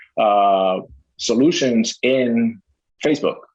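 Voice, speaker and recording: A man is speaking. He has a Spanish accent. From Puerto Rico. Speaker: gym owner. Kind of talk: interview.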